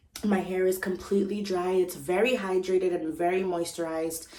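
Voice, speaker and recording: Noticeable background noise surrounds a woman with a fairly low pitch. She keeps a moderate pace and fairly even intonation. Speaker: beauty and hair vlogger. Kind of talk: casual vlog talk to camera. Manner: chatty with many ums and likes.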